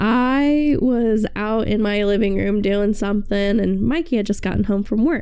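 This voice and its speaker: Her tone dark and mellow, a woman speaks fairly slowly at a fairly high pitch with ordinary pitch variation. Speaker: podcast co-host. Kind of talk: casual chat.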